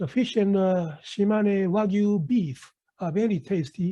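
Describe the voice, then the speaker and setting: A man with a high pitch and a dark, mellow tone talks at a fairly slow pace. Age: 60s. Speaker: university professor and retired doctor. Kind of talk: presentation. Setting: webinar.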